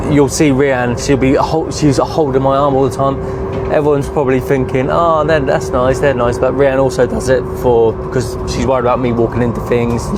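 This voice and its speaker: A man speaks at a fairly quick pace with a southern English accent, his medium pitch moving with ordinary variation and his loudness very even. The room echo is audible and there is noticeable background noise. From England. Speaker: travel vlogger. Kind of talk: casual chat. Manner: slurred, sounds drunk.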